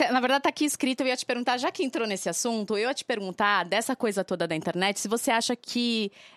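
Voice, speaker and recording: Talking at a very fast pace with hardly any pauses, a woman with a fairly high pitch and lively intonation comes through dry and close with no echo in a very clean recording against a silent background. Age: 30s. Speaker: podcast co-host. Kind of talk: casual chat.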